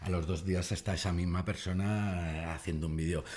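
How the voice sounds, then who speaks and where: At a moderate pace, a man with a very deep, low pitch speaks in a somewhat breathy voice with fairly even intonation. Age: 40s. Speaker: comedian. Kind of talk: casual chat. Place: studio. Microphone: studio mic.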